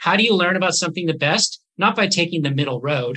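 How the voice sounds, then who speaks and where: A man speaks with a Canadian accent in an unremarkable speaking voice. His fairly high pitch shows ordinary variation. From Canada, northern British Columbia. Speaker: neurologist. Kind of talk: interview.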